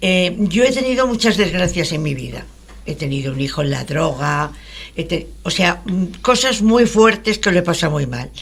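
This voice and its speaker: Her pitch is fairly low, and she is a woman speaking at a moderate pace. Her pitch swings very widely. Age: 80s+. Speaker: radio show participant. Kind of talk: radio talk show conversation. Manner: halting.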